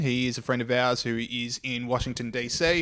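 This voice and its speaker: The speaker is a man with an Australian accent. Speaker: podcast host. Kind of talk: casual chat. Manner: fast.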